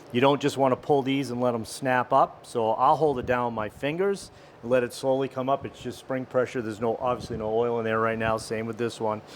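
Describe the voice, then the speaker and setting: Talking at a fairly quick pace with hardly any pauses, a man at medium pitch keeps his intonation fairly even against noticeable background noise. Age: 60s. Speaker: motorcycle mechanic. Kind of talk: tutorial. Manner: casual.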